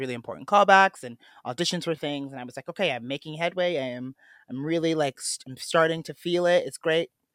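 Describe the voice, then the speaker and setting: A man with an American accent, a normal speaking voice and fairly high pitch, at a fairly quick pace, in a dry, close sound with no echo. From Cleveland, Ohio, US Midwest. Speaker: podcast co-host, stage performer. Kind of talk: casual chat.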